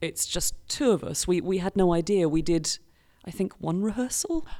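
A woman speaks with a British accent in a dark, mellow tone. The recording is very clean, with a silent background. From Britain. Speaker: improv performer. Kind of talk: podcast interview.

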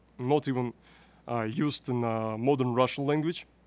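A man talks in a normal speaking voice. His pitch is medium and his pace moderate. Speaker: youth podcast host. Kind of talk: interview. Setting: youth conference.

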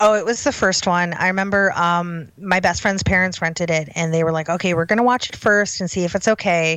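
A plain, everyday voice with an American accent moves at a fairly quick pace with hardly any pauses and fairly even intonation. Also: woman, medium pitch for a woman. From Chicago, US Midwest. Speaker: horror writer and editor. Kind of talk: interview.

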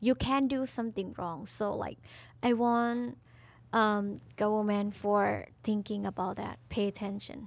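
Here a woman speaks with a Thai accent. Her pace is fairly slow. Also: medium pitch for a woman, ordinary pitch variation. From Thailand. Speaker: co-host, singer. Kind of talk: casual chat. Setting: studio.

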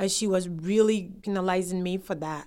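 A woman with a Ghanaian accent at a medium pitch, fairly quick pace and monotone, flat intonation, in a very clean recording with a silent background. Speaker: immigrant sharing life story. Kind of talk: oral history interview.

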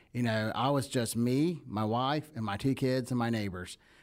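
A man talks with a Southern US accent. The recording is very clean, with a silent background. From US South. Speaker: networking founder and speaker. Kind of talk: casual interview chat.

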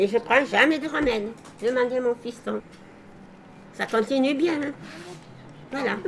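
A woman speaks at a very slow pace in a high pitch, with lively intonation, long and frequent pauses, and noticeable background noise. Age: 80s. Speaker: retired village grocer, elderly resident. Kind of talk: interview with children, reminiscing.

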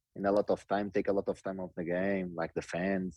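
A man with a Portuguese accent speaks in a very deep, low pitch with monotone, flat intonation. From Portugal. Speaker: professional footballer. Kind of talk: interview.

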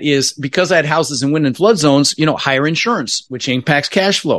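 A man with a General American accent, a fairly high pitch, ordinary pitch variation and a fairly quick pace. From Denver, Colorado. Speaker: real estate investor. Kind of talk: podcast interview. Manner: animated.

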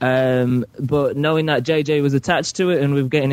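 With a northern English accent, a man speaks at a moderate pace and medium pitch in a flat monotone. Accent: British, northern English. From Carlisle, northern England near the Scottish border. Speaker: podcast caller.

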